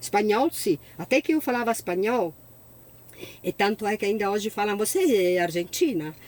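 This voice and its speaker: A woman speaks at a medium pitch with lively intonation. Her pace is moderate, with long, frequent pauses. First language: Italian (speaking Portuguese). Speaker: sommelier. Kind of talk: interview.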